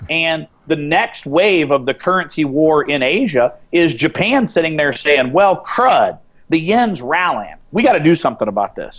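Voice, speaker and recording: Pitched fairly high, a man talks at a moderate pace with very wide pitch swings. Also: hardly any pauses. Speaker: commodity trader. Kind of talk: interview.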